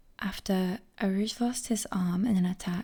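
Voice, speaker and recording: This woman's somewhat breathy voice sits at a medium pitch, with a dark, mellow tone and fairly even intonation. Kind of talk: whispered ASMR book reading. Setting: close microphone, audible breathing. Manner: soft, whispered, cozy.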